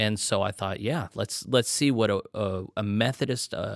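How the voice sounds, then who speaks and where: An unremarkable speaking voice from a man with an American accent, medium in pitch, fairly even in intonation and moderate in pace, on a very clean, dry, close recording with no echo and a silent background. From Texas. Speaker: podcast host. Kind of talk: interview conversation.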